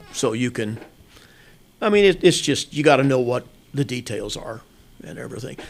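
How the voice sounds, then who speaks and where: A man with a Midwestern US accent speaks at medium pitch and a moderate pace, with lively intonation, big swings in loudness, and long, frequent pauses. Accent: rural Midwestern US. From Kansas. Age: 70s. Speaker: hunting outfitter and farmer. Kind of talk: interview. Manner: halting with repetitions.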